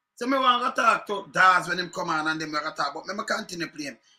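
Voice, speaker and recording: A man with a Jamaican accent projects a raised, bright, sharp voice at a high pitch. He talks at a fairly quick pace with ordinary pitch variation. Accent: Jamaican Patois. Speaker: political commentator. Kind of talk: political rant. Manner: animated.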